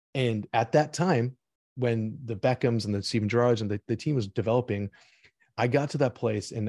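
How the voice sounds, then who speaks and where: In a normal speaking voice, a man talks at a fairly quick pace and medium pitch with ordinary pitch variation, the sound dry and close with no echo over a quiet background. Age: 30s. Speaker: e-commerce marketer and investor. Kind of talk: casual interview.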